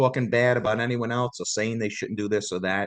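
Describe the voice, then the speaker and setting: Against a quiet background, a man with a New York accent talks at a fairly quick pace. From New York City, Staten Island. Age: 60s. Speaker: Elvis tribute artist, former bus driver. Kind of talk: casual interview chat.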